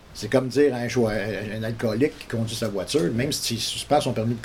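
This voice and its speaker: A man's medium-pitched voice at a very fast pace, with ordinary pitch variation and noticeable background noise. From Montreal, Quebec. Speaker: local resident. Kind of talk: news interview.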